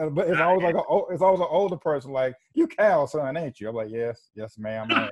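Over a quiet background, a man with a Carolina accent talks very fast, his fairly high pitch carrying lively intonation. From South Carolina (Spartanburg); South Carolina. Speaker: podcast host; podcast co-host. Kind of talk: casual chat. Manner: halting, many fillers and restarts. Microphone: earbuds.

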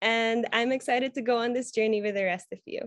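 A high-pitched woman at a moderate pace with ordinary pitch variation, against a quiet background. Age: 20s. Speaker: beauty pageant candidate; candidate. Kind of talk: interview. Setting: video call. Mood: warm, upbeat. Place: home room. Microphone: video call.

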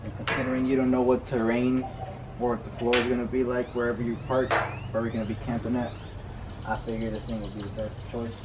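A man rushes along at a very fast pace with loud background noise behind him. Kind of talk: casual tutorial vlog. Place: garden. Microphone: camera far.

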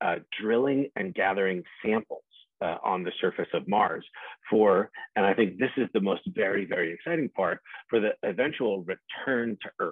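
Over a quiet background, a man with a fairly low pitch and ordinary pitch variation talks at a moderate pace in a dry sound with no echo. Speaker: invited guest lecturer. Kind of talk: lecture. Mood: enthusiastic, relaxed. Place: home room. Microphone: video call.

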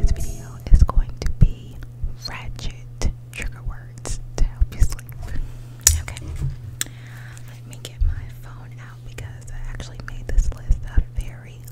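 A woman speaks in a playful tone, with long, frequent pauses. Noticeable background noise runs underneath. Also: big swings in loudness. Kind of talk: ASMR whisper video. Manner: whispered, playful.

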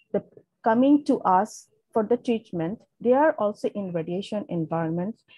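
Against a quiet background and with a dry, echo-free sound, a woman speaks in a somewhat breathy, dark, mellow tone with lively intonation. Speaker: webinar presenter. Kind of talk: lecture. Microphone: video call.

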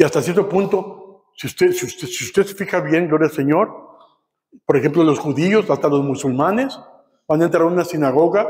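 Against a quiet background, a man with a northern Mexican accent speaks in an animated tone at a moderate pace, his fairly high voice showing ordinary pitch variation. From Matamoros, Mexico; Mexico. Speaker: pastor; preacher. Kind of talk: sermon. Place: church. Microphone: camera far.

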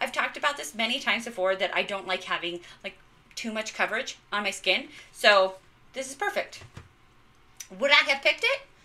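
A fairly high-pitched woman with lively intonation, fairly quick between long, frequent pauses. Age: 30s. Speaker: beauty content creator. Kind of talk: casual unboxing and makeup tutorial. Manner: animated. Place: bathroom. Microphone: phone near.

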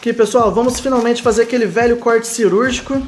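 Very fast speech over faint music in the background. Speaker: DVD collector channel host. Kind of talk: unboxing commentary. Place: home room. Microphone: phone near.

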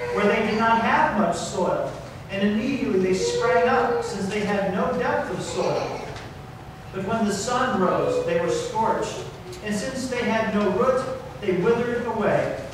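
Over noticeable background noise and strong room echo, a man talks at a fairly slow pace. His pitch is high, with fairly even intonation. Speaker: pastor. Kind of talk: scripture reading. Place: church.

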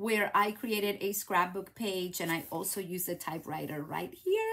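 A woman with a Spanish accent talks at a moderate pace over light background noise. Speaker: craft demonstrator and YouTuber; craft demonstrator. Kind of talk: live craft tutorial stream; devotional message. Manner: animated. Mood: warm, encouraging, faith-based. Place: home room.

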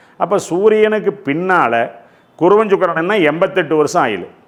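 A man's intonation rises and falls in a lively way, with echo from the room clearly heard. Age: 60s. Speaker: astrologer. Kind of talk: lecture.

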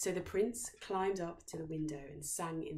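A woman speaks at a moderate pace, low in pitch with a slightly mellow tone. Room echo is audible.

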